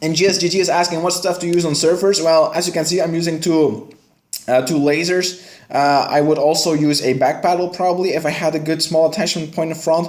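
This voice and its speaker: Speaking at a fairly quick pace with a Dutch accent, a man with fairly high pitch is heard in audible room echo. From Belgium, West Flanders. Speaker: gaming streamer. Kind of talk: live stream commentary. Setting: live stream. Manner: casual.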